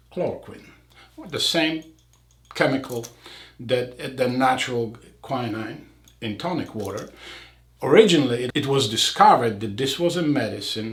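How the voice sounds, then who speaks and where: With a non-native accent, a man speaks at a medium pitch and moderate pace with ordinary pitch variation and long, frequent pauses, against noticeable background noise and audible room echo. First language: not English. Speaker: eye surgeon. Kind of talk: casual chat.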